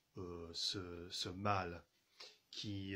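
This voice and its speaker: A man with an English accent speaks in a very deep, low pitch and a monotone, flat intonation. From England. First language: English (speaking French). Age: 30s. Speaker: journalist and radio producer. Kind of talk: video message to viewers. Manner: halting, many fillers and repetitions.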